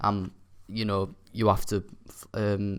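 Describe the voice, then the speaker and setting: A man speaks quietly at a fairly low pitch. The recording is very clean with a silent background. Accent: Yorkshire. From Yorkshire, near Hull. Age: young. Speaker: gaming YouTuber. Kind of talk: gameplay commentary. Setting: university flat. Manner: quiet, subdued.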